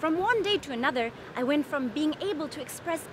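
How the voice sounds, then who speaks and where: A woman with a German accent and a high pitch, speaking at a moderate pace over noticeable background noise. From Germany. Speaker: comedian. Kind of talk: stand-up monologue.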